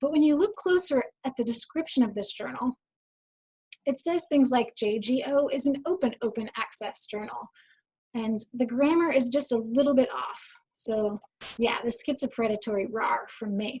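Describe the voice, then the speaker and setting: A woman is speaking in a high voice. Her pitch varies in an ordinary way. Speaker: information specialist giving a webinar. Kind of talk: webinar presentation. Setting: online webinar. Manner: fast.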